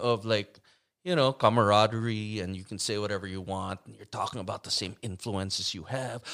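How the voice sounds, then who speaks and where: A man has a normal speaking voice with fairly low pitch and a moderate pace. His loudness swings widely on a very clean recording with a silent background. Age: 60s. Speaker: bass player and songwriter. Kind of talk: casual chat.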